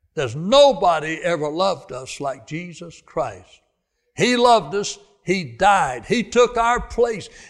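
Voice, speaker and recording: The speaker has a Southern US accent and very wide pitch swings. Loudness rises and falls in big swings. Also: man, high pitch for a man. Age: 80s+. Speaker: preacher. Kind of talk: sermon. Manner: halting.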